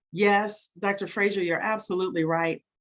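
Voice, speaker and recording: A woman talks at a moderate pace with ordinary pitch variation over a quiet background. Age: 60s. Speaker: webinar host, network marketer. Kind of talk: online presentation. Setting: webinar. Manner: animated.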